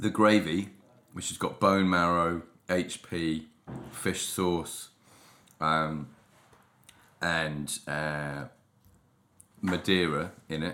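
A man speaks at a very slow pace with long, frequent pauses. His voice is very deep and low, with a bright, sharp tone and fairly even intonation. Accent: British. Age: 40s. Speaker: food podcast host. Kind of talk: casual chat. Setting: home kitchen.

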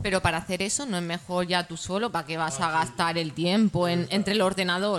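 A woman talks at a very fast pace in a fairly low pitch. Her pitch varies in an ordinary way. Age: 30s. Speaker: political activist. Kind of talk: talk show debate.

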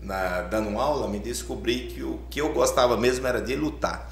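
Talking at a fairly slow pace, a man with a very deep, low pitch is heard with audible room echo and noticeable background noise. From Alagoas, Brazilian Northeast. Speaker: boxing coach and former champion. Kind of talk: casual interview chat.

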